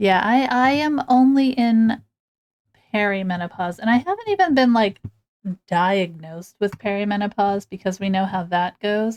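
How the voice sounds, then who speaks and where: A woman with a medium pitch speaks at a moderate pace. Her pitch variation is ordinary. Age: 40s. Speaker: streamer. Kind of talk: casual chat. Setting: livestream. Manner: animated.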